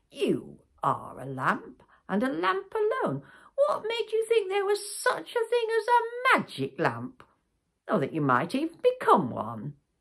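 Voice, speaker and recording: Someone uses a put-on character voice at an extremely high pitch, speaking at a fairly slow pace. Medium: read story. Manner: calm, wise.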